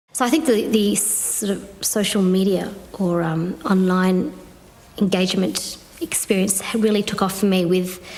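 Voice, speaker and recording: A woman with a Victorian Australian accent speaks at a fairly slow pace, with medium pitch and ordinary pitch variation. Noticeable background noise and audible room echo fill the recording. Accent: country Victorian Australian. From Australia, country Victoria (Bendigo). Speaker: cross-cultural consultant and activist. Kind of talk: interview monologue.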